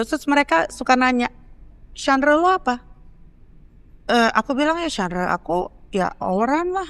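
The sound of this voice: Her pitch high and swinging very widely, a woman talks at a fairly quick pace with long, frequent pauses.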